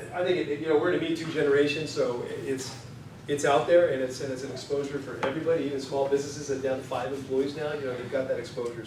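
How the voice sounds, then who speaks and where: Over noticeable background noise and audible room echo, a man speaks very fast in a fairly high pitch with monotone, flat intonation. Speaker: employment lawyer. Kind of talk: conference presentation.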